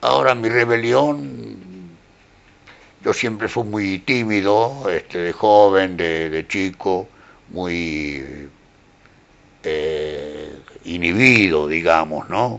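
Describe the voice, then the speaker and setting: With lively intonation, a man speaks in a very deep, low voice at a very slow pace, leaving long, frequent pauses. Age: 80s+. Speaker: poet and painter. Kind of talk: interview.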